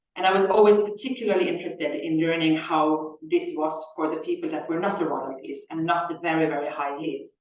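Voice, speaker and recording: With a Norwegian accent, a woman speaks at a fairly quick pace in a fairly low voice, with ordinary pitch variation and audible room echo. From Norway. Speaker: Egyptologist researcher. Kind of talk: lecture. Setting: lecture hall with audience and Zoom.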